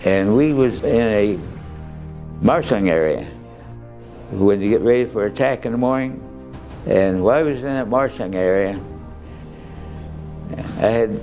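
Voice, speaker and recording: Over music in the background, a man with an American accent speaks with long, frequent pauses. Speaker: war veteran. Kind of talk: interview answer.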